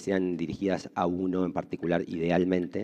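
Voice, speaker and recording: With a very deep, low pitch, a man talks at a moderate pace. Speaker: conference moderator, economist. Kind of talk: conference moderation. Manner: halting, many fillers.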